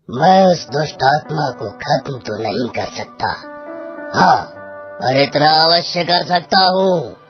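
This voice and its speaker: A man does a cartoonish character voice at a fairly slow pace, with faint music in the background. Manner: solemn, commanding.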